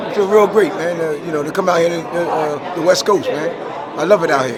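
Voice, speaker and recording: A man talks at a high pitch and fairly quick pace with fairly even intonation. There is audible room echo and crowd noise in the background. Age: 60s. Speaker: boxing trainer. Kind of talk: interview. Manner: halting.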